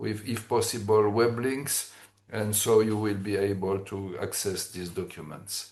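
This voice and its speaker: In a French accent, a man speaks at a fairly low pitch with fairly even intonation and a fairly slow pace. The room echo is audible. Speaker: engineering expert presenter. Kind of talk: technical presentation. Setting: webinar. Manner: halting, many fillers.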